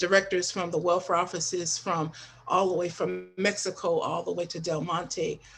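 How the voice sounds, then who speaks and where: Music plays in the background. A woman speaks at a moderate pace and a medium pitch. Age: 60s. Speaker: panelist, welfare trainer. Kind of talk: podcast panel discussion. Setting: live stream.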